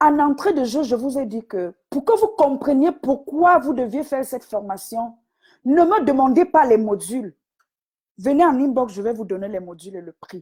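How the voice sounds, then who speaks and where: A high-pitched woman's voice, dark and mellow in tone, at a moderate pace, with very wide pitch swings and big swings in loudness. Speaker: business coach. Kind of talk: live stream talk. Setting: online live video.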